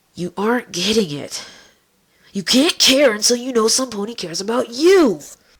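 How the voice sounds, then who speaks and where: The put-on character voice moves at a moderate pace. Its pitch is fairly high. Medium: read story. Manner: calm, terse, matter-of-fact.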